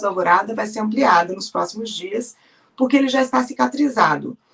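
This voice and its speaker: A woman is speaking. Her pitch swings very widely. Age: 40s. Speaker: journalist. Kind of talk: interview.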